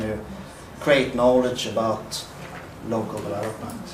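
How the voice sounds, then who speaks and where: Noticeable background noise and audible room echo surround a man of medium pitch. He talks at a fairly slow pace in a monotone, flat intonation. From northern Sweden. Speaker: researcher and social innovation organizer. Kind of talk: conference presentation. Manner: halting.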